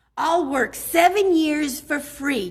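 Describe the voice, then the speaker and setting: In a high pitch, a woman performs a put-on character voice. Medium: read story.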